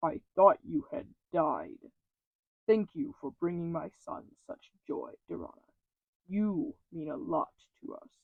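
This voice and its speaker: In a put-on character voice, a man talks at a fairly slow pace and high pitch, with very wide pitch swings and big swings in loudness. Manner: warm, emotional.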